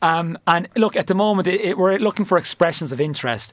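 A man with a Cork accent, talking at a very fast pace. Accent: Cork Irish. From Cork, Ireland. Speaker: football club manager. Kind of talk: interview. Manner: halting, many fillers.

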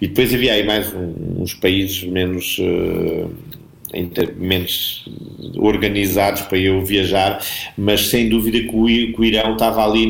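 Audible room echo surrounds a man speaking at a fairly slow pace. His intonation stays monotone and flat. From Portugal, Alentejo (Portalegre district). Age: 50s. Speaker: businessman and PR professional, traveller. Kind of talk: casual interview.

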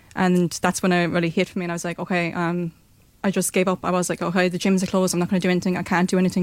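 With a Limerick accent, a woman speaks at a medium pitch in a monotone, flat intonation. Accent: Irish (Limerick). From Ireland, Limerick. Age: 20s. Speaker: personal trainer and blogger. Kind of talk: radio interview.

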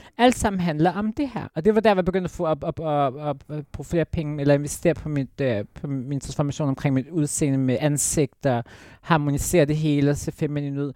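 A woman with a very deep, low pitch and a dark, mellow tone speaks at a moderate pace with ordinary pitch variation, hardly any pauses, and a very clean recording with a silent background. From Jutland, Denmark. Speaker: former reality TV contestant. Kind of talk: casual interview chat. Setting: studio.

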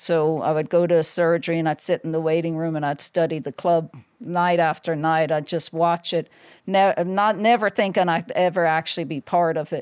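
In a very clean recording with a silent background and a dry, close sound with no echo, a woman with an American accent talks at a moderate pace, her fairly low voice held to a fairly even intonation. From Ireland. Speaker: former professional boxer. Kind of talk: interview. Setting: studio.

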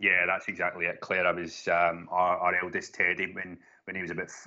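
A man talks at a fairly quick pace with a Glaswegian accent. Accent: Glaswegian Scottish. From Donegal, raised in Glasgow. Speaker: sleep consultant. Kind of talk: casual chat.

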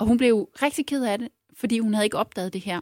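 Very fast and full of vocal fry, a woman's voice comes through dry and close with no echo, on a very clean recording with a silent background. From Jutland, Ørnhøj. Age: 40s. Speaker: former local politician turned consultant. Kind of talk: casual chat.

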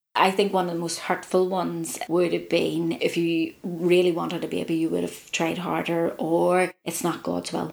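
This woman has a Northern Irish accent and speaks at a moderate pace. She hardly pauses at all. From Ireland. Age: 40s. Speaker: reproductive health worker. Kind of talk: interview.

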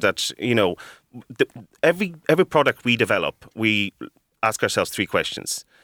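At a fairly quick pace, a man speaks at medium pitch with very wide swings and a bright, sharp tone, the sound dry and close with no echo. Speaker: coffee roaster and business owner. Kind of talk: radio interview, business chat.

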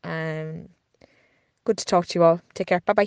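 A woman's fairly low, monotone, flat delivery in an Irish accent, against a quiet background. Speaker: podcast producer and co-host. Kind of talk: recorded voice note update. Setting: voice note recorded at home.

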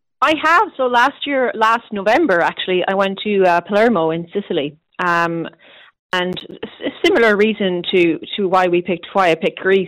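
A woman speaks with a west of Ireland accent. The recording is very clean, with a silent background. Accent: west of Ireland Irish. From Ireland, Galway. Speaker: careers reporter. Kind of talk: casual interview.

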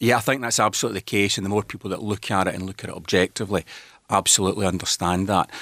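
Very fast speech with a Scottish accent and fairly even intonation comes through in a very clean recording with a silent background, dry and close with no echo. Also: man, fairly low pitch for a man. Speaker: politician. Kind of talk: radio interview.

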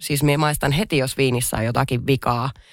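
This woman has a very deep, low pitch and vocal fry. She talks at a moderate pace. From Finnish Lapland. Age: 30s. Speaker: hospitality entrepreneur. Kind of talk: casual chat. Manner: hesitant, many fillers.

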